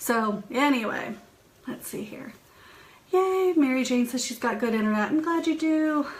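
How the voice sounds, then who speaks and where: A high-pitched woman at a moderate pace, lively intonation and big swings in loudness, amid noticeable background noise and audible room echo. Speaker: psychic medium and spiritual host. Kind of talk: live stream chat with viewers. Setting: home office, live stream.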